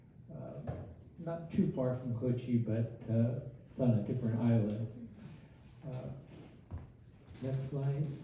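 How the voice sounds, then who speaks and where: A man with an American accent at medium pitch, very slow pace with long, frequent pauses, ordinary pitch variation, audible room echo and noticeable background noise. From Northern California (Winters, Yolo County). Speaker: community speaker. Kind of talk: public talk. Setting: museum talk with audience. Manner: halting, many fillers.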